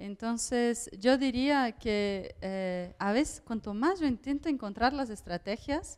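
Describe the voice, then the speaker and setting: With a Portuguese accent, a woman speaks very slowly in a fairly high voice with lively intonation. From central Brazil, near Brasília. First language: Portuguese (speaking Spanish). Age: 30s. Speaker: artist, curator and educator; educator. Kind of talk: public talk. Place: home room. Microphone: handheld.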